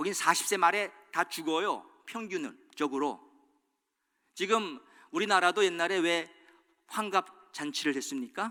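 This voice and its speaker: A man's raised, projected voice, high in pitch and bright and sharp in tone, at a very slow pace. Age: 60s. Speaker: pastor. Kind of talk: sermon.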